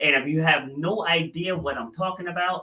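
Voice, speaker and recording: Here a man talks with a high voice and ordinary pitch variation. He keeps a moderate pace. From New England. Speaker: podcast host. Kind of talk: interview podcast.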